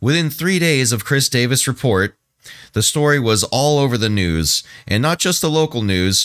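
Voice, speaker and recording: In a normal speaking voice of medium pitch, a man talks at a moderate pace with lively intonation and very even loudness. The sound is dry and close with no echo, on a very clean recording with a silent background. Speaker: podcast co-host. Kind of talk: casual comedic podcast chat, reading sources aloud. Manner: relaxed, laid-back, joking.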